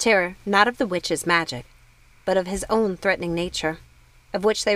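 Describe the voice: Simple, plain reading aloud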